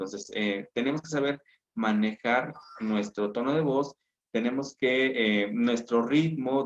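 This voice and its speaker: A man with a plain, everyday voice. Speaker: teacher. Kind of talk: lecture.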